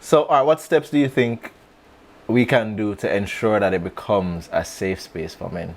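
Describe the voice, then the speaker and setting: With an unremarkable speaking voice, a man talks at a medium pitch and moderate pace with lively intonation. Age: 30s. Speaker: podcast host. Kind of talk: interview.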